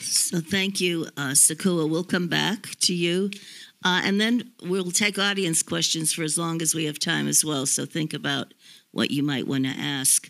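A woman with a fairly low pitch and vocal fry talks at a fairly slow pace, her pitch varying in an ordinary way. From US. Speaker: panel moderator and former ambassador. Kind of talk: moderated panel discussion. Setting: stage with audience. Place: hall. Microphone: handheld.

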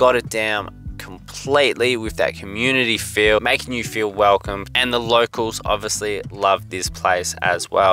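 With faint music in the background, a man speaks at a moderate pace with ordinary pitch variation in a dry recording with no echo. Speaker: food reviewer. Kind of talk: casual vlog chat. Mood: upbeat, friendly. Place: car. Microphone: lapel.

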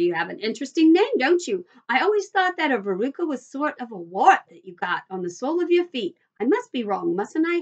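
A woman puts on a character voice with a high pitch and big pitch swings. She moves at a fairly quick pace.

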